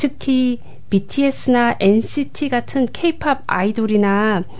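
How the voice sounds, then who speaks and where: A woman's very slow speech with lively intonation, over noticeable background noise. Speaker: community coordinator and Korean language lecturer. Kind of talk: radio interview. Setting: studio.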